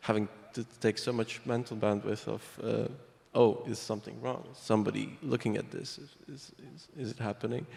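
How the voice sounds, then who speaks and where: A man with a non-native accent, medium pitch, fairly even intonation, a fairly quick pace, vocal fry and big swings in loudness. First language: not English. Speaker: privacy software developer. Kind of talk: panel discussion.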